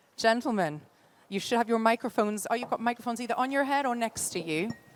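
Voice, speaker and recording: Speaking in a Geordie accent, a woman talks with a fairly high pitch and lively intonation. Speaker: conference moderator. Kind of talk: panel moderation.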